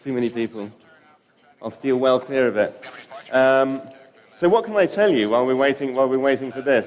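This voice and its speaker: With an English accent and medium pitch, a man talks at a very fast pace yet leaves long, frequent pauses amid noticeable background noise. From London, England. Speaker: data visualization studio co-founder, conference speaker. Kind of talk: conference talk. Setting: stage with audience. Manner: hesitant, many fillers.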